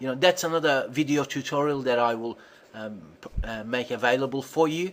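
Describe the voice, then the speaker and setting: This man has a plain, everyday voice, medium in pitch. His pace is moderate and his pitch variation ordinary. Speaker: SEO tutorial presenter. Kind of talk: tutorial.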